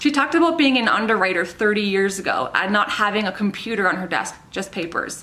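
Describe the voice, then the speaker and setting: The speaker has a Minnesotan accent and lively intonation. Noticeable background noise runs behind the voice. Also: woman. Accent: Minnesota. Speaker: insurance professional. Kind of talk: scripted commentary to camera.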